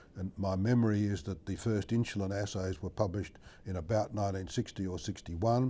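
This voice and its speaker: With an Australian accent, a man talks at a fairly quick pace in a fairly low, dark, mellow voice with fairly even intonation. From Australia, Melbourne. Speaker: medical researcher, endocrinologist. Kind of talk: interview answer.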